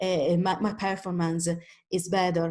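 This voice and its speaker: Against a quiet background, a woman with fairly low pitch speaks in an Italian accent with a monotone, flat intonation. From Italy. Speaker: independent trader, webinar presenter. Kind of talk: webinar tutorial. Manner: halting, many fillers and restarts.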